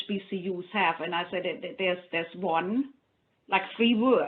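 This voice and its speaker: A woman with a German accent, at a moderate pace and with ordinary pitch variation. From Germany. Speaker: funding program officer. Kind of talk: panel discussion.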